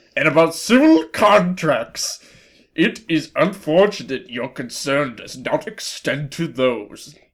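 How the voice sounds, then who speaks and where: A man performs a put-on character voice, fairly high in pitch with lively intonation. He speaks at a fairly slow pace, with big swings in loudness. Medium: read story. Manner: formal, stiff.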